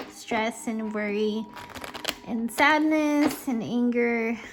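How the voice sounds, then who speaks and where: A woman speaks at a very slow pace and a fairly high pitch. There is noticeable background noise. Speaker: tarot reader. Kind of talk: casual monologue to camera. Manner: halting, self-correcting.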